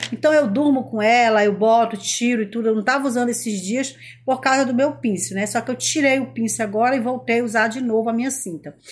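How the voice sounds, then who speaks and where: A woman speaks in an animated tone at a fairly quick pace with hardly any pauses. Her pitch is fairly high, with ordinary variation. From Brazil. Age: 40s. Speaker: lifestyle vlogger. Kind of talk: casual vlog monologue. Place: home room. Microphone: phone near.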